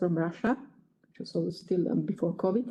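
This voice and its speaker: At a fairly quick pace, a woman speaks at a medium pitch with fairly even intonation over noticeable background noise. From Slovakia. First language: Slovak. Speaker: geneticist. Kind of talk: lecture. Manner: halting.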